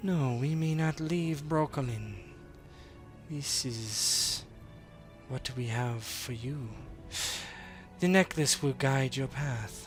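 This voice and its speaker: Over clear background music, a man puts on a character voice at medium pitch. He talks very slowly, with long, frequent pauses. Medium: actual play. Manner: unhurried, calm.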